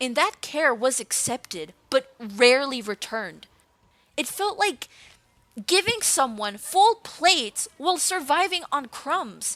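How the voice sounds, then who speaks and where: A woman, loud and high-pitched, fairly slow, with very wide pitch swings and a dry, close sound with no echo. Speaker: art content creator and vlogger. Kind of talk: personal storytime monologue. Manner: emotional, halting at times.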